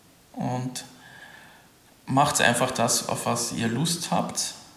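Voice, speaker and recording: A man at medium pitch with very wide pitch swings and audible room echo. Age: young. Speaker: winemaker. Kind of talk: interview.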